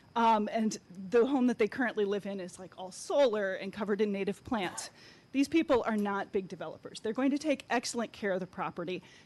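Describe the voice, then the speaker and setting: A woman talks in an ordinary speaking voice with an American accent, at a fairly high pitch and a fairly quick pace. Her pitch variation is ordinary, with big swings in loudness. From Sarasota, Florida. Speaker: environmentalist, public commenter. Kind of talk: public comment statement.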